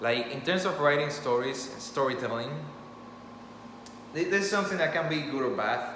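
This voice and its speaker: Amid noticeable background noise and audible room echo, a man with a Spanish accent speaks at a moderate pace, his medium pitch showing ordinary variation. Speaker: storyteller and author. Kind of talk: impromptu monologue. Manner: casual, halting with fillers.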